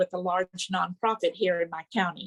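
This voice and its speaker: With a Texan accent, a woman speaks at a moderate pace in a dry, close sound with no echo. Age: 80s+. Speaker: network marketing distributor. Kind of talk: testimony; speaker introduction. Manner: reading aloud.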